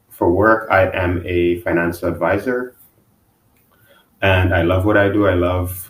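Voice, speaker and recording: A man speaks in a monotone with flat intonation. His voice is very deep and low, and somewhat breathy. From Guyana. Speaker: financial advisor, podcast guest. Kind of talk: podcast interview. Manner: halting, repeats words; relaxed.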